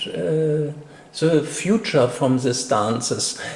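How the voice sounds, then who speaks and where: At a very slow pace, a man with a non-native accent and a fairly high pitch speaks with ordinary pitch variation, amid noticeable background noise and audible room echo. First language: not English. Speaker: interviewer. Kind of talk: interview. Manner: halting.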